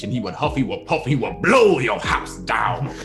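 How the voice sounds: Clear music plays behind a man doing a gruff, put-on character voice. He keeps a moderate pace.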